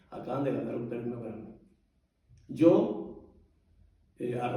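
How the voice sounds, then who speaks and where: A man's dark, mellow, somewhat breathy voice in audible room echo. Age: 60s. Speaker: saxophonist and singer. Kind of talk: personal storytelling to an audience.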